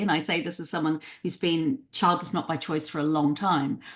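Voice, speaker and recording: A woman speaks in a somewhat breathy voice. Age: 60s. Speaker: psychotherapist and writer. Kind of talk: interview conversation.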